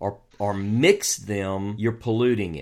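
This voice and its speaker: A man talks at a very slow pace with a Southern US accent. The recording is very clean with a silent background. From US South. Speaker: co-host and author on biblical texts. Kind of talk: casual chat about scripture.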